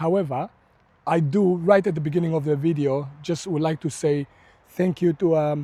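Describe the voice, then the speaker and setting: Recorded very cleanly against a silent background, a man speaks at a moderate pace in a dark, mellow tone with fairly high pitch. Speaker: allotment gardener. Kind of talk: casual talk to camera. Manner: subdued, less enthusiastic than usual.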